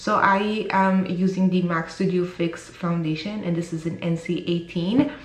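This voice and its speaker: Speech comes at a moderate pace, with audible room echo and noticeable background noise. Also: woman, fairly low pitch for a woman. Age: 30s. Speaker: beauty vlogger. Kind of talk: tutorial. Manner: animated.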